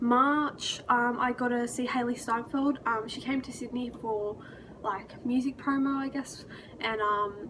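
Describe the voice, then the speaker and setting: A woman with an Australian accent speaks at a fairly slow pace in a high, monotone voice with flat intonation, over noticeable background noise. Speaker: vlogger. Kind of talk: casual vlog recap. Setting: hotel room in New York. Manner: casual with many fillers.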